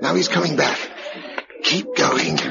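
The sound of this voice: At a fairly slow pace, a man puts on a character voice that is fairly high-pitched, with a bright, sharp tone, vocal fry and ordinary pitch variation.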